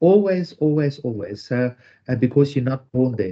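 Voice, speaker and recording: Lively intonation in a South African accent. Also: man. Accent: South African accent when speaking Dutch. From South Africa, Zululand. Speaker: author and entrepreneur. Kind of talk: interview. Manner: halting, many fillers.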